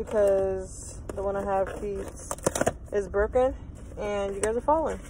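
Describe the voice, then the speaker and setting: Her pitch sits at a medium level with ordinary variation for this woman. The sound is dry with no echo, though noticeable background noise is present. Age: 20s. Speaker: lifestyle vlogger. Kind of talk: casual talk to camera. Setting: in a car. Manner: casual, rambling. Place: car. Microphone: phone near.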